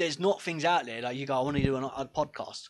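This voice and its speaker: A man speaks at a fairly quick pace with a British accent. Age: 20s. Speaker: podcast co-host. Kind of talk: casual chat.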